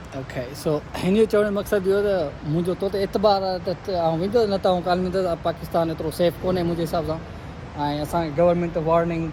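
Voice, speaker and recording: With a Sindhi accent and a high pitch, a man speaks at a moderate pace and fairly even intonation over noticeable background noise. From Pakistan. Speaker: street interviewer. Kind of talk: casual interview.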